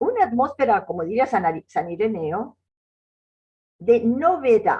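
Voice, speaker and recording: Her voice is fairly high in pitch with very wide pitch swings and a dark, mellow tone, clearly a woman's. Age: 80s+. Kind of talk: lecture. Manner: halting.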